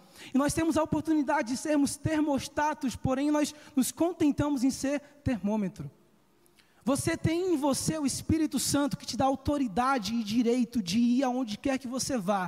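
The speaker is a man with an extremely high pitch. He talks at a moderate pace. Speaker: preacher. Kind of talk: sermon.

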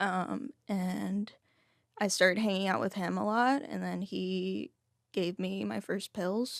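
A woman talks very slowly, and the recording is very clean with a silent background. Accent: American. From Texas, Fort Worth and Dallas. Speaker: person in long-term recovery. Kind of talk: interview testimony.

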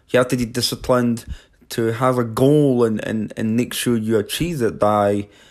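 With ordinary pitch variation, a man speaks in a medium-pitched voice. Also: very clean recording, silent background. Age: 20s. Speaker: podcast host. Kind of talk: solo monologue. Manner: halting, many fillers and repetitions.

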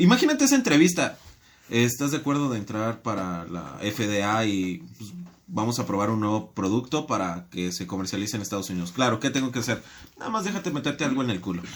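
A man speaks in a plain, everyday voice at medium pitch. His intonation is lively and his pace fairly quick. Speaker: podcast guest. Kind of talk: casual chat.

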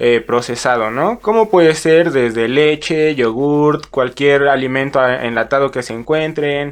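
At a fairly slow pace with hardly any pauses, a man speaks in an unremarkable speaking voice, his pitch fairly high and varying in an ordinary way. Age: 20s. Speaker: brewer. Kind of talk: interview.

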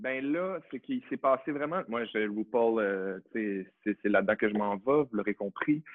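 With a plain, everyday voice, a man talks at a medium pitch and fairly slow pace with lively intonation and hardly any pauses. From Quebec, Saguenay (Chicoutimi). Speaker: actor and drag queen. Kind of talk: casual chat.

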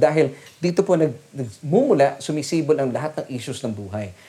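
Speaking at a fairly quick pace, a man has a dark, mellow tone and lively intonation. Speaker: preacher. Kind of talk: sermon. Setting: online church service. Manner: animated, rallying the congregation with call-and-response; earnest, formal and polite, Taglish.

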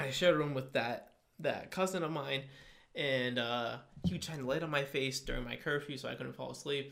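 In a normal speaking voice with an American accent, a man talks at a fairly quick pace with a fairly high pitch and fairly even intonation. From US Connecticut. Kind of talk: casual chat.

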